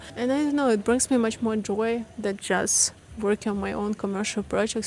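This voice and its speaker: This speaker has a non-native accent, a moderate pace and fairly even intonation. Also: woman. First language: not English. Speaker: content creator and course teacher. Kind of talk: vlog-style reflective talk to camera. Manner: unscripted, with fillers.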